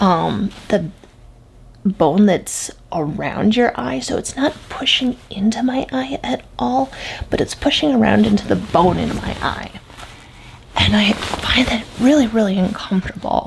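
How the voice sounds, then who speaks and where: Quiet, fairly slow speech over noticeable background noise. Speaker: product reviewer. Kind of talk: product review vlog. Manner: hushed, quiet.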